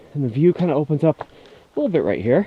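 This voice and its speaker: Noticeable noise sits behind the speech. The man's intonation is lively. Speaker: vlogger. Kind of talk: casual vlog narration while hiking. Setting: outdoors on a mountain hike. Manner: casual, with fillers.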